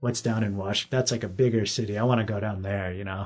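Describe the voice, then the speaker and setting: A somewhat breathy man at a fairly low pitch, fairly quick in pace, with fairly even intonation. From Alaska, Anchorage. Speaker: professional snowboarder. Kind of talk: casual interview chat.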